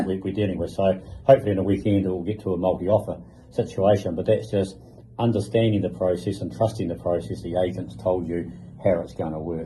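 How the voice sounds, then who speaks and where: This man has a very deep, low pitch with vocal fry and a dark, mellow tone. He talks very fast with ordinary pitch variation. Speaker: podcast host, real estate agent. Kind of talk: interview, conversational podcast talk.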